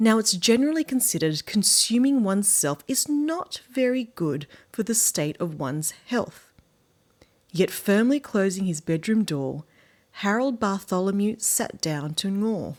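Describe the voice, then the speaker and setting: With an Australian accent and very wide pitch swings, the speaker goes at a fairly slow pace in a very clean recording with a silent background. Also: woman, medium pitch for a woman. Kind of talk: children's book read-aloud.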